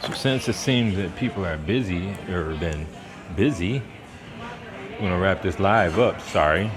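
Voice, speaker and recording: Speaking at a fairly slow pace with long, frequent pauses, a man with a very deep, low voice shows ordinary pitch variation over audible room echo and noticeable background noise. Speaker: wine channel host. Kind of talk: casual live stream at a restaurant. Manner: quiet.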